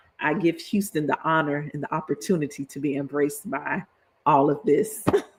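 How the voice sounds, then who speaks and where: Spoken at a fairly quick pace, this voice carries a Florida accent. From Florida (Lakeland, Polk County). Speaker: political education streamer. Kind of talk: livestreamed lecture. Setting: live stream. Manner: animated, casual.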